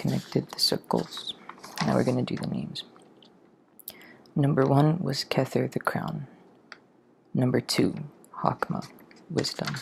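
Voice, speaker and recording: Soft-spoken speech with long, frequent pauses comes through noticeable background noise. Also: fairly slow pace. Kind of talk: ASMR soft-spoken tutorial, memorizing by repetition. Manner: soft-spoken, slow, casual.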